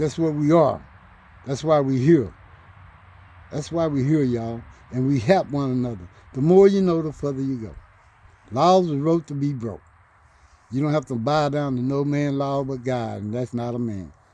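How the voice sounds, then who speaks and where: The tone is animated, with ordinary pitch variation and a moderate pace. Long pauses come often. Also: man, fairly high pitch for a man. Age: 60s. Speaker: elder community member. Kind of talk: casual talk to camera, advice to young people. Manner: animated, preachy.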